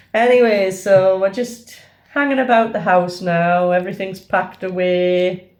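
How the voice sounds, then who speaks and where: A woman speaks at a fairly slow pace in an ordinary speaking voice. Her pitch is medium, with ordinary pitch variation. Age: 60s. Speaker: travel vlogger. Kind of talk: casual chat; vlog narration. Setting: at home; train station.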